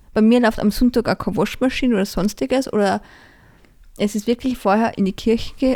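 A woman speaks in a plain, everyday voice with a fairly high pitch. Her pitch variation is ordinary. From Austria, Salzburg region (Pongau). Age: 20s. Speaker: parish council member and gardener. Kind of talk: interview.

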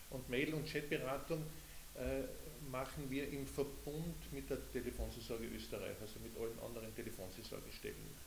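A man with a Carinthian accent talks at a moderate pace. The room echo is audible, and there is noticeable background noise. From Carinthia, Austria (Lavanttal). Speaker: head of a telephone counselling service. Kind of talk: casual interview. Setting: sitting at a table in a group room.

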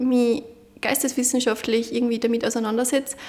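A woman talks at a high pitch. Noticeable background noise can be heard. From Upper Austria, Munderfing. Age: 20s. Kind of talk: interview.

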